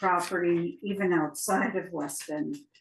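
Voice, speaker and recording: Speaking very slowly with ordinary pitch variation, a woman with a fairly low pitch talks over noticeable background noise. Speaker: town property assessor. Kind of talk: testimony at a public hearing. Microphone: audio cutting out.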